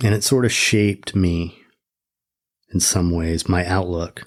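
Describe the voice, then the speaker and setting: This man has a very deep, low pitch, speaks at a fairly slow pace, and shows ordinary pitch variation. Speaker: podcast host. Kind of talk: podcast monologue. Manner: reflective, hesitant.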